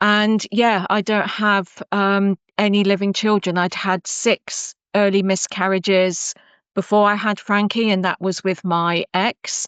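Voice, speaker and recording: A woman with an English accent, medium in pitch, in a monotone, flat intonation at a fairly slow pace, with a dry, close sound with no echo and a quiet background. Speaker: cybersecurity professional. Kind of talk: interview. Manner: hesitant, many fillers.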